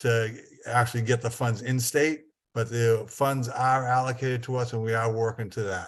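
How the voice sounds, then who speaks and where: Against a quiet background, a man with a northern Massachusetts accent speaks at a moderate pace and medium pitch in a flat monotone. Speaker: state broadband program official. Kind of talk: meeting presentation.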